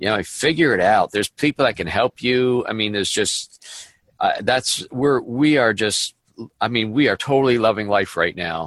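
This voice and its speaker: A man speaks at a moderate pace in a medium pitch with ordinary pitch variation, an ordinary speaking voice. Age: 50s. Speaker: business coach. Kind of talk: casual chat.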